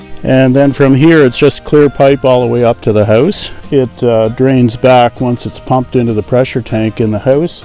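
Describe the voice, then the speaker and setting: Faint music plays behind a man in a dry sound with no echo. He talks at a moderate pace with fairly even intonation. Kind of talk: tour explanation. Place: waterside.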